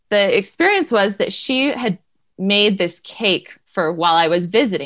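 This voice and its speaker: Against a quiet background, a woman with an unremarkable speaking voice talks at a moderate pace and a medium pitch with lively intonation. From New Hampshire, US. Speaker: homeschooling mother and family historian. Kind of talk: interview.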